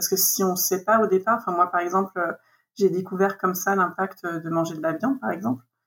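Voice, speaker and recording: A woman's medium-pitched voice holds a moderate pace and fairly even intonation. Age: 40s. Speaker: interviewee sharing eco lifestyle experience. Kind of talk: casual interview. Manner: hesitant, many fillers and repetitions.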